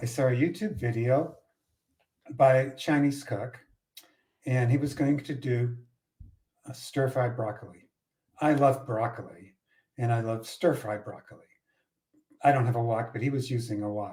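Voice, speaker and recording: A man with a dark, mellow, somewhat breathy tone, a slight Boston accent, ordinary pitch variation and long, frequent pauses. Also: medium pitch for a man, moderate pace. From Boston area, US. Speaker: podcast co-host. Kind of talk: casual chat.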